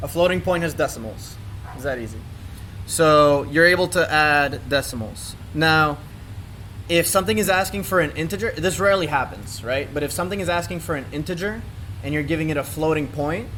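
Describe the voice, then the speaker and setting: At a fairly quick pace, a man with a fairly high pitch and ordinary pitch variation has an ordinary speaking voice. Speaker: workshop instructor. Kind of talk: tutorial.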